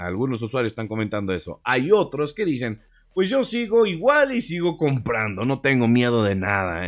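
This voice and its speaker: Against a quiet background, a man talks in an animated tone. His pitch swings very widely. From Mexico. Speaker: gaming YouTuber; gaming youtuber. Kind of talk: casual video commentary. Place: home room. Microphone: studio mic.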